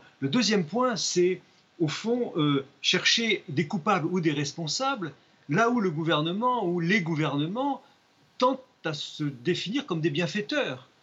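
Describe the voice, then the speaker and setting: A man speaks at a very slow pace. His high voice moves through very wide pitch swings. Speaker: magistrate. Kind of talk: studio debate interview. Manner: halting.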